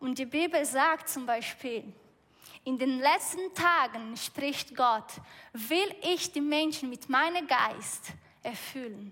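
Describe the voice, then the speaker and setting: A woman with a Brazilian accent speaks in a raised, projected voice at a very slow pace. Her pitch is high, with ordinary pitch variation. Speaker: preacher. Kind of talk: sermon. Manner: halting.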